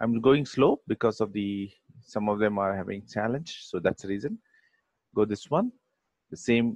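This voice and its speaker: A man talks at a fairly slow pace and medium pitch with ordinary pitch variation, in a dry, close sound with no echo. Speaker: software instructor. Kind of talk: tutorial.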